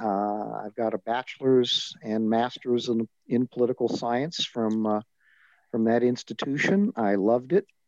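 With an American accent and a medium pitch, a man talks at a fairly slow pace in an ordinary speaking voice, the sound dry and close with no echo. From Southern California. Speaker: retired advocacy leader, former organization president. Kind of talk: interview.

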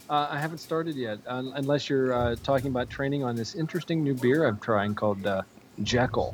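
At a fairly quick pace, a man talks in an ordinary speaking voice. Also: medium pitch for a man, ordinary pitch variation. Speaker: podcast caller and friend of the show. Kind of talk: casual chat.

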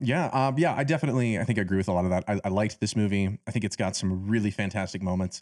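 Talking very fast with hardly any pauses, a man keeps a fairly low pitch, very even loudness and ordinary pitch variation. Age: 20s. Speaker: film podcast host. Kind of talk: casual chat.

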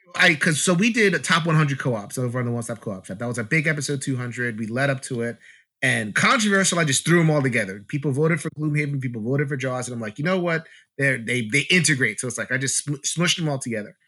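Speaking at a very fast pace, a man uses a bright, sharp tone, lively intonation, and a fairly high pitch in a very clean recording with a silent background. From US Northeast, Brooklyn, New York. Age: 40s. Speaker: board game YouTuber and podcaster. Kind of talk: casual chat.

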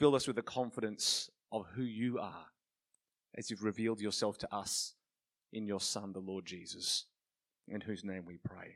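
Leaving long, frequent pauses, a man speaks at a moderate pace with a fairly low pitch and fairly even intonation. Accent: Australian. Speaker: pastor and interviewer. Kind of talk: interview and closing prayer. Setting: church with audience.

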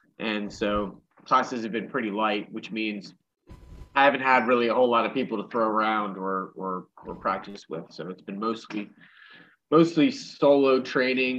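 A man in an American accent uses a normal speaking voice at a medium pitch and moderate pace, with big swings in loudness. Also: ordinary pitch variation. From Western Pennsylvania, Pittsburgh. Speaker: karate instructor. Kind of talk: casual chat.

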